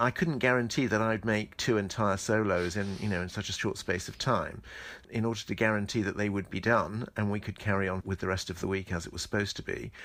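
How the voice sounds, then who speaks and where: Very fast speech in a southern English accent, fairly even intonation, and a very clean recording with a silent background. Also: man, fairly low pitch for a man. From southern England, Medway towns in Kent. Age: 60s. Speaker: choreographer. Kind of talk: interview.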